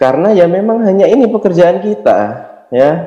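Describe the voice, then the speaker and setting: This man's voice rises and falls in very wide pitch swings. He is the one speaking. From Indonesia, Yogyakarta. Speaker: network marketing distributor, motivational speaker. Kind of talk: motivational seminar talk.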